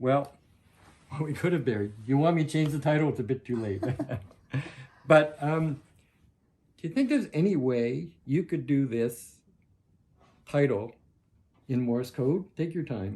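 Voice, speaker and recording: A man with a fairly high pitch speaks at a moderate pace, somewhat breathy, with ordinary pitch variation. His long pauses come frequently. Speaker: novelist. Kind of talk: casual conversation.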